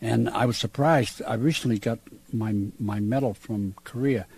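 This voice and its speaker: A man with an American accent speaks in a fairly low, somewhat breathy voice, his pitch varying in an ordinary way. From Massachusetts, US. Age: 70s. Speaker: war veteran. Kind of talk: interview. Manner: halting.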